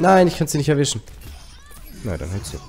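With music in the background, a man talks at a fairly quick pace, his pitch swinging very widely. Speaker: gamer. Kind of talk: gameplay commentary. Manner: casual, chatty.

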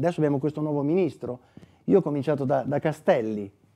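Against a quiet background, a man speaks with a dark, mellow tone and very wide pitch swings. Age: 60s. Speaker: author and former prisoner; interviewee. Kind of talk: book presentation interview. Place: studio. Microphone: lapel.

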